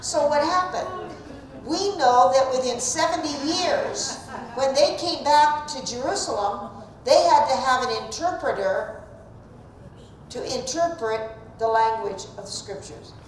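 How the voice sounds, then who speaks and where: A high-pitched woman in a southeastern Ohio accent with lively intonation and big swings in loudness, at a fairly slow pace, with audible room echo and noticeable background noise. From US Midwest, southeastern Ohio. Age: old. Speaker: Bible teacher. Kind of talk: Bible class lecture. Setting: church classroom, also streamed. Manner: conversational.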